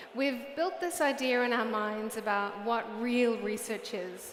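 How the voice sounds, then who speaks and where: Very slow and high-pitched, a woman talks in a New Zealand accent with ordinary pitch variation. Noticeable background noise and audible room echo fill the recording. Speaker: UX research director. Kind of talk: conference talk. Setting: stage with audience.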